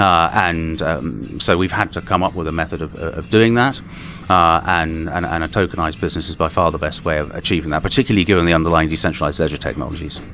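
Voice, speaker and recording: Someone with an English accent speaks at a very fast pace with ordinary pitch variation. Noticeable background noise runs under the voice. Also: man, very deep, low pitch for a man. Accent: English accent, much praised. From southern and eastern England. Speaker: tech company co-founder and CTO. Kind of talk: interview. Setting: conference interview room. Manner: halting, many repeated words.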